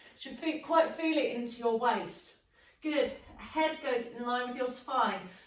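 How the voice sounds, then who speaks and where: Audible room echo surrounds a woman with a high pitch. She speaks at a fairly slow pace with ordinary pitch variation. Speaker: fitness instructor. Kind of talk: exercise class instruction.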